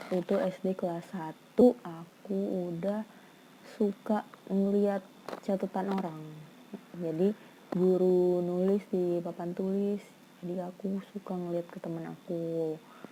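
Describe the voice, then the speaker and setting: A soft-spoken woman talks at a very slow pace and medium pitch. Her intonation is monotone and flat. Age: 20s. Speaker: vlogger. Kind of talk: casual vlog storytelling.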